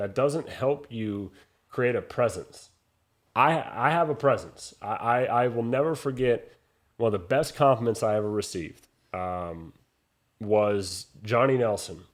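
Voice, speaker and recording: In a very clean recording with a silent background, a man uses an ordinary speaking voice at medium pitch with ordinary pitch variation and a fairly slow pace. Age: young. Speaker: boxing ring announcer. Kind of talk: interview answer, conversational.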